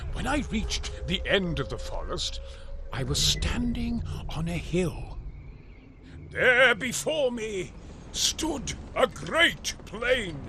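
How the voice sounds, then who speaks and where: Speaking very slowly, a man performs a put-on character voice with long, frequent pauses. Clear background noise runs underneath. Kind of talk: epic spoken-word narration. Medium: audio drama. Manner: slow, grave, solemn.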